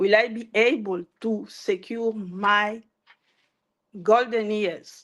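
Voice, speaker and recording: This woman has a French accent and a fairly high pitch. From DR Congo. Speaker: entrepreneur, live stream host. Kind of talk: motivational live talk. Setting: Facebook live stream.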